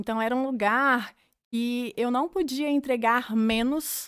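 A woman talks in a normal speaking voice with ordinary pitch variation. The recording is very clean, with a silent background and a dry, close sound with no echo. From Brazil, Minas Gerais (Cláudio). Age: 30s. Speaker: physiotherapist and franchise entrepreneur. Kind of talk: interview conversation.

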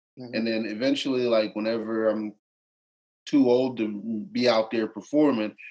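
This man has an American accent and a medium pitch. His intonation is monotone and flat, and his pace is moderate. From McKeesport, Pennsylvania. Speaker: musician. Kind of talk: casual interview.

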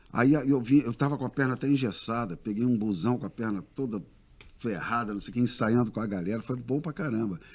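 A man's ordinary speaking voice at medium pitch, ordinary pitch variation and a fairly quick pace. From Rio de Janeiro, raised partly in Brasília. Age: 60s. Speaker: singer. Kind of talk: casual interview chat.

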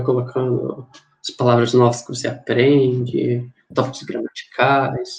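At a moderate pace, a man talks with monotone, flat intonation. His pitch is medium. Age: 20s. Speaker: engineering physics student, podcast co-host. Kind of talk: casual chat.

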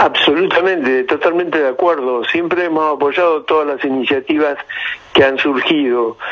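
Noticeable background noise behind a fairly high male voice, moderate in speed and ordinary in pitch variation. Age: 60s. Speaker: paleontologist. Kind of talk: radio interview.

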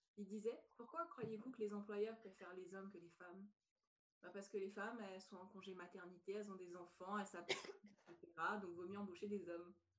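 A woman with an ordinary speaking voice talks at medium pitch and a fairly quick pace. Her intonation stays fairly even while her loudness swings widely. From France. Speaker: podcast host and personal development coach. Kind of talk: podcast interview.

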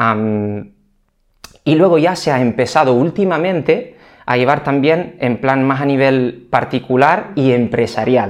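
A man speaks at a fairly slow pace in a medium pitch, with ordinary pitch variation. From Italy. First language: Italian (speaking Spanish). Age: 30s. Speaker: physical rehabilitation trainer. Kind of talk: interview.

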